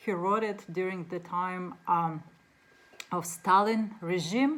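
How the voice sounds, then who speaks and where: Fairly even intonation with a Russian accent. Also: woman. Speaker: book reviewer. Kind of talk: casual book talk to camera. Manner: halting, many fillers.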